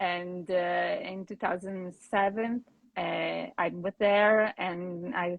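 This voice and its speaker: Fairly even intonation marks this woman's speech in an Italian accent. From Italy. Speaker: painter. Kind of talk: casual interview. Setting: video call livestream. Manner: halting.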